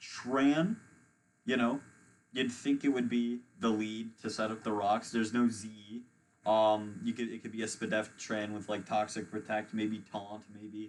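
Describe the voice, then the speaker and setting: With a plain, everyday voice, this man talks fairly slowly. His pitch is medium and his intonation fairly even. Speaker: competitive gaming commentator. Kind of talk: live commentary.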